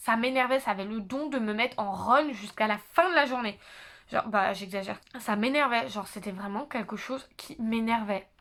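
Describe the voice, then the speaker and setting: A woman at a moderate pace, fairly high pitch, ordinary pitch variation. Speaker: YouTuber, psychology student. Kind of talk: casual vlog monologue. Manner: loud; hesitant, many fillers.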